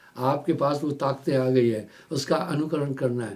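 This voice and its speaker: Audible room echo surrounds a man whose pitch is fairly high. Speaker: spiritual teacher. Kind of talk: sermon. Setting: live satsang broadcast.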